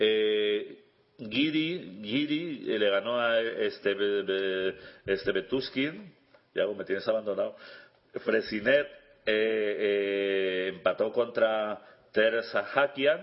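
A man with a medium-pitched voice talks very slowly. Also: ordinary pitch variation. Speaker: chess radio co-host, international master. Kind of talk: casual radio chat. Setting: radio studio.

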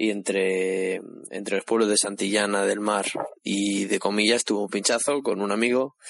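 This man talks at a moderate pace with fairly low pitch, very even loudness and fairly even intonation. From Cantabria. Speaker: radio contributor. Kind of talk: pre-recorded talk on dialect. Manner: halting.

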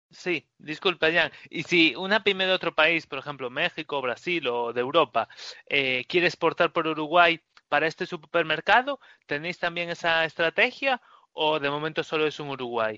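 A man talks with an ordinary speaking voice, fairly high in pitch, moderately paced, and with ordinary pitch variation. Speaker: podcast host. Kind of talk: interview.

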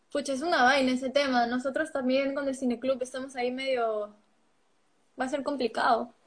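A woman's high-pitched voice, flat and monotone, at a fairly quick pace. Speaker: film club livestream host. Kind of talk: casual interview.

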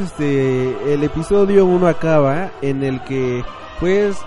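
A man talks with lively intonation while room echo is audible and noticeable noise sounds in the background. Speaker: podcast host. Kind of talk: casual monologue. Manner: animated.

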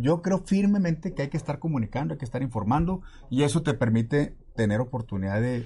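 At a fairly quick pace, a man speaks with lively intonation, a dark, mellow tone, and a somewhat breathy quality. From Mexico City. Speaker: water utility director and politician. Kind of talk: interview.

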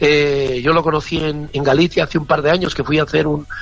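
With noticeable background noise behind him, a man talks very fast at a fairly high pitch. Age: 60s. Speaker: singer. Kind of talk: interview. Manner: animated.

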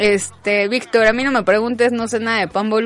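Music plays in the background as the speaker talks at a moderate pace in an animated tone. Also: woman. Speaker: sports radio host. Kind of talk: casual chat.

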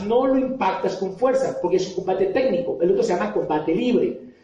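Audible room echo surrounds a man whose extremely high-pitched voice moves in very wide pitch swings. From Colombia, Popayán. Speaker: motivational speaker and author. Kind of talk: motivational talk to an audience.

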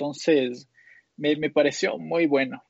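A man with a fairly high voice. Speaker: tech podcast panelist. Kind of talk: casual chat.

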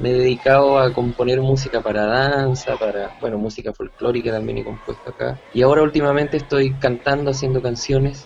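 With noticeable noise behind him, a man talks at a fairly quick pace with hardly any pauses. His medium-pitched voice stays monotone and flat. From Chile, Santiago. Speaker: musician and music teacher. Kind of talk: interview. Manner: halting.

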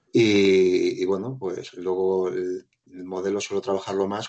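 A man is heard here. His voice sits at a very deep, low pitch. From Spain, Madrid (Móstoles). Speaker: light painting photographer. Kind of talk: podcast interview.

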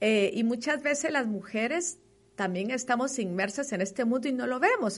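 Lively intonation marks a woman's high-pitched voice, delivered at a moderate pace. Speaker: advertising executive. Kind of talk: interview.

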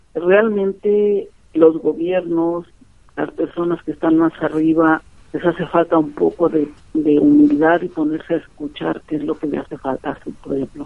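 A woman talks in an ordinary speaking voice at fairly low pitch. Her pace is fairly slow and her intonation fairly even. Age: 50s. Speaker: community radio broadcaster. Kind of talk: interview. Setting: phone call.

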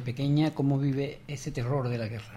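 Audible room echo surrounds a man whose fairly high voice has a dark, mellow tone, fairly even intonation and a moderate pace. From Cádiz, Andalusia. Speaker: radio host. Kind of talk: radio interview. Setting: radio studio.

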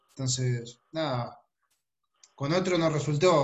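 Fairly even intonation carries this somewhat breathy voice. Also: man. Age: 30s. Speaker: salesperson. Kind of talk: video call team meeting.

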